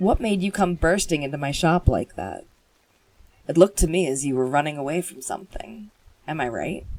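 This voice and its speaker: A gruff, rumbling put-on character voice at a middle pitch speaks at a moderate pace. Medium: game stream. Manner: gruff, grumbling.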